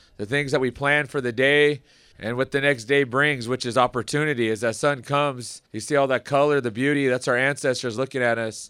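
Talking at a fairly quick pace, a man at a medium pitch keeps a fairly even intonation in an ordinary speaking voice. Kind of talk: ceremony speech. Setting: outdoors.

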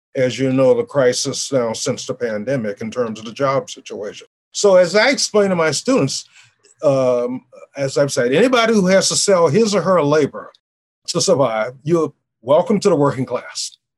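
A man with an American accent, fairly high pitch, very wide pitch swings and a moderate pace. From US South, New Orleans. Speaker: political science professor. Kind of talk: interview.

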